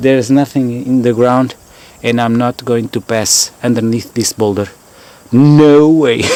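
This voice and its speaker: Amid noticeable background noise, a man with a Portuguese accent speaks at a fairly slow pace and medium pitch. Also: fairly even intonation. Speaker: fossil hunter vlogger. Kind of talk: outdoor vlog narration. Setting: outdoors. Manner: halting, many fillers.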